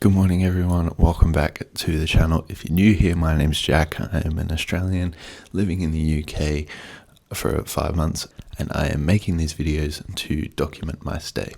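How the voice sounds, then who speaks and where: Using a put-on character voice, a man speaks quietly at a moderate pace in a raspy, very deep, low pitch with fairly even intonation. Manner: talking quietly.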